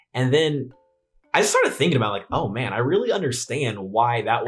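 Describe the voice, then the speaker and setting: Here is a man with an American accent and an animated tone. He sounds somewhat breathy and moves at a fairly quick pace. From US West Coast, San Francisco Bay Area. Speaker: YouTuber, investing channel host. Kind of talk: casual vlog narration. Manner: halting, stuttering; casual, animated.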